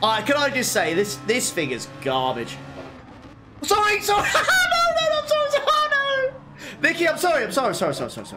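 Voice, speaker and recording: Over music in the background, a man talks at a moderate pace with audible room echo. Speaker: sim racing streamer. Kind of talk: live gameplay commentary. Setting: live stream. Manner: animated.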